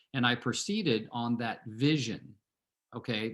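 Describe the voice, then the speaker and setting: An American accent with ordinary pitch variation, in a very clean recording with a silent background. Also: man. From Southern California. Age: 60s. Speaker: real estate team leader and coach. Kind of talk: team meeting talk with personal story. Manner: conversational, many fillers.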